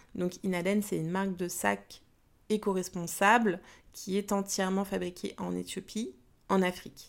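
Recorded very cleanly against a silent background, a woman speaks at a fairly slow pace in a flat monotone. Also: medium pitch for a woman. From Paris region, France. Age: 40s. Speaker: business coach and podcaster. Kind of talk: casual monologue. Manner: hesitant with fillers; spontaneous, unscripted.

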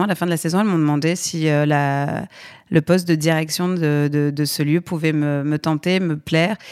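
A plain, everyday voice at a moderate pace on a very clean recording with a silent background. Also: woman. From Aix-en-Provence, southern France. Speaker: comedy production company head. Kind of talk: podcast interview.

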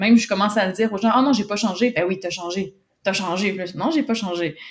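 Very fast and somewhat breathy, a woman speaks in a Quebec accent at a medium pitch with ordinary pitch variation. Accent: Québécois. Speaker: communications and business development professional. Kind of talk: testimony. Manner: halting, many repetitions and fillers.

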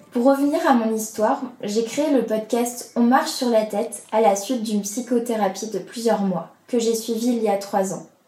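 A woman with a fairly high pitch talks at a moderate pace with hardly any pauses and ordinary pitch variation. Noticeable background noise runs underneath. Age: 20s. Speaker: podcast host. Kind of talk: personal testimony.

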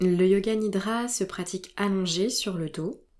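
A woman's voice has a dark, mellow tone. It sounds gentle and soothing. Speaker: yoga nidra guide. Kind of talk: guided meditation. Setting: solo recorded session. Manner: slow, soothing, calm; gentle, soft-spoken, with long pauses.

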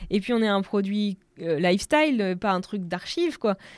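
The recording is very clean, with a silent background. A woman speaks in a medium pitch at a fairly slow pace. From Normandy, France. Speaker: entrepreneur. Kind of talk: casual chat. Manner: animated.

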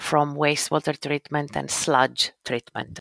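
In a very deep, low voice with vocal fry, a woman speaks at a moderate pace, the sound dry and close with no echo. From Greece. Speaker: engineering consultant. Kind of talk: interview.

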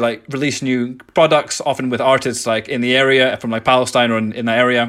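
A man speaks at a fairly quick pace in an Edinburgh accent, his medium-pitched voice flat and monotone. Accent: Scottish (Edinburgh). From Scotland, Edinburgh. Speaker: skateboarding charity founder. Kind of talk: interview.

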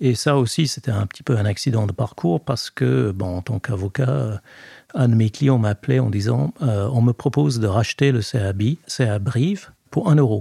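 A man's medium-pitched, somewhat breathy voice with a dark, mellow tone and lively intonation, at a moderate pace, in a dry, close sound with no echo. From Scotland. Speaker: sports lawyer. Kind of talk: interview. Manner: hesitant, many fillers.

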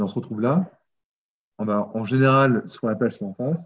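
A normal speaking voice from a man, his pitch medium and ordinary in its variation. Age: 30s. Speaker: farmer and former accountant. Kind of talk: casual interview.

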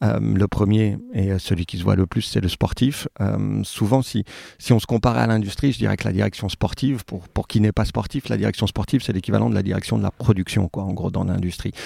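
Fairly low-pitched with vocal fry and a dark, mellow tone, a man talks at a fairly quick pace with hardly any pauses and ordinary pitch variation, in a dry, close sound with no echo. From France, Saint-Étienne. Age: 40s. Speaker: rugby club president. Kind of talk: interview. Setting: at guest's home.

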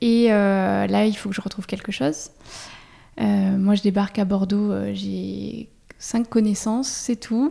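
Speaking very slowly with long, frequent pauses, a woman's dark, mellow voice sits at a medium pitch with ordinary pitch variation. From France, Auvergne. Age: 30s. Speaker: cosmetics brand co-founder. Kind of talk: interview. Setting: spa.

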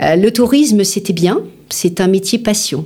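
At a moderate pace, a woman speaks in a normal speaking voice with ordinary pitch variation. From Paris, France. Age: 50s. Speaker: business founder and CEO. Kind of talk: interview.

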